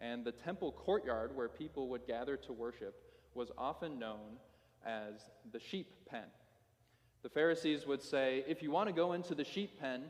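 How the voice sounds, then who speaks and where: A man speaks at medium pitch and a moderate pace, with ordinary pitch variation. It is an unremarkable speaking voice. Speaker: pastor. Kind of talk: sermon.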